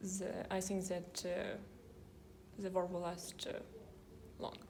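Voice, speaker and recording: Amid audible room echo, a woman with a medium pitch speaks very slowly in a monotone, flat intonation. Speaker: university student. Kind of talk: casual chat. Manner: halting.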